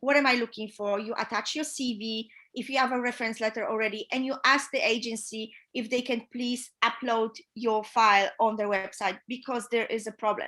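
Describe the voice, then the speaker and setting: A woman with a fairly high pitch speaks at a moderate pace in a bright, sharp tone and a monotone, flat intonation, on a very clean recording with a silent background. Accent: Polish. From Poland. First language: Polish. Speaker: yacht chief stewardess. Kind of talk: interview advice. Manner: hesitant with fillers.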